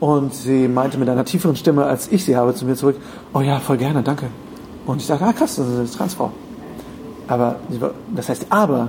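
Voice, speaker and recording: A man with a fairly high pitch talks at a fairly quick pace, with ordinary pitch variation and long, frequent pauses. Noticeable background noise runs underneath. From Germany, rural. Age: 30s. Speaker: podcaster and voice actor. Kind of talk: casual chat. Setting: hotel room.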